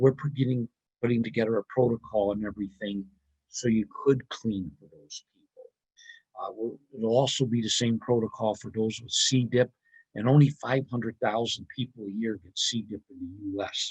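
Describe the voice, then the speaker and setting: In a dry, close recording with no echo, a man of medium pitch speaks somewhat breathily at a moderate pace, his intonation fairly even but his loudness swinging widely. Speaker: cleaning products company presenter. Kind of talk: webinar sales talk.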